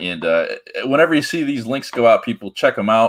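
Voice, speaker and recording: Vocal fry marks this man's voice. His pitch rises and falls across a very wide range. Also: very clean recording, silent background. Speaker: comics commentary streamer. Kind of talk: live stream commentary. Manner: casual, hesitant with fillers.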